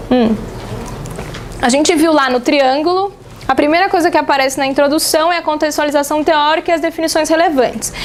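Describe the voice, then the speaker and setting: Noticeable background noise sits behind a woman with a high voice. She talks at a fairly quick pace, with long, frequent pauses. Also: ordinary pitch variation, very even loudness. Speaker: teacher. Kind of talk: lecture. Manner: fast.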